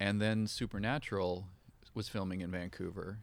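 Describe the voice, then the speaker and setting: A man with a plain, everyday voice, fairly low pitch and fairly even intonation talks at a fairly quick pace on a very clean recording with a silent background. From northern British Columbia, Canada. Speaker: film director and makeup effects artist. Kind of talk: interview.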